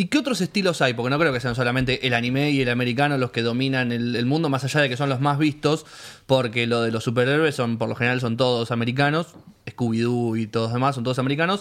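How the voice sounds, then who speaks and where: Very fast in pace, a man with a Rioplatense accent talks at medium pitch with fairly even intonation. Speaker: podcast host. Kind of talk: casual interview.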